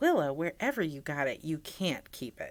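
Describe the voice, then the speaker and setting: A put-on character voice, female-sounding, with a very deep, low pitch. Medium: read story.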